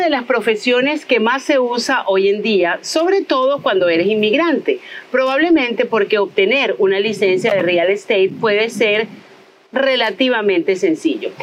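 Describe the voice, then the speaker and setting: A woman's animated voice at a fairly slow pace with very wide pitch swings, over noticeable background noise. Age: 50s. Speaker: podcast host. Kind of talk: casual interview. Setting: outdoors in a botanical garden.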